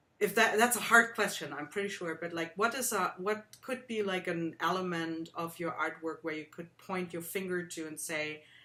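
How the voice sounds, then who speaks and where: A woman speaks at a moderate pace with hardly any pauses, her fairly low pitch showing ordinary variation. Her tone is bright and sharp, with big swings in loudness. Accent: slight German. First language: German. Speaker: art workshop host. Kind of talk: interview.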